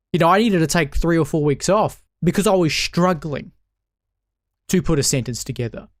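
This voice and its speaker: A man with a New Zealand accent speaks in a high voice, his pitch varying in an ordinary way. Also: fairly quick pace, very clean recording, silent background. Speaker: political commentator. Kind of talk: political commentary monologue.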